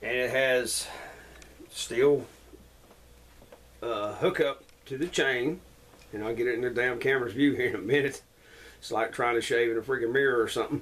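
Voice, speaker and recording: Long, frequent pauses break up a man's speech at a moderate pace. His pitch is medium and his intonation fairly even. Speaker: outdoor gear reviewer. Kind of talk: casual product review. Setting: indoors at home. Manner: loud.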